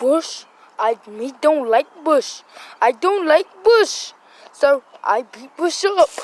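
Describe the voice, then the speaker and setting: A cartoonish character voice comes in at a high pitch. The pace is very slow. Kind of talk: playful puppet comedy. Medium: puppet show. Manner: childish broken grammar, repetitive.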